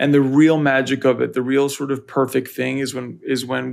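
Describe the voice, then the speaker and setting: A man with an American accent uses a plain, everyday voice at medium pitch, speaking at a fairly slow pace with fairly even intonation on a very clean recording with a silent background. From US, Northern Virginia. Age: 30s. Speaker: music photographer. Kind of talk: casual interview.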